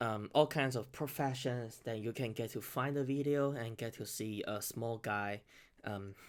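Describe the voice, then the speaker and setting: In a very clean recording with a silent background, a man speaks with a Chinese accent at a moderate pace. His pitch is medium and his intonation fairly even. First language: Mandarin Chinese. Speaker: beatboxer and reaction youtuber. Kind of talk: casual new year address to viewers. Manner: halting, many fillers and self-corrections.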